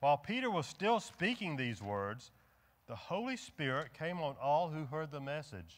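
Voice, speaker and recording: A man at a moderate pace, fairly high in pitch. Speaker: church pastor leading service. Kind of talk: church service announcements and liturgy. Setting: church. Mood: solemn, reverent. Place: church.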